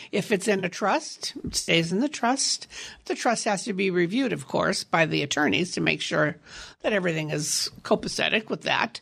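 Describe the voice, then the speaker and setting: A plain, everyday voice speaks at a moderate pace with lively intonation. The background is quiet. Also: woman, medium pitch for a woman. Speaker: reverse mortgage expert. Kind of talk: radio interview.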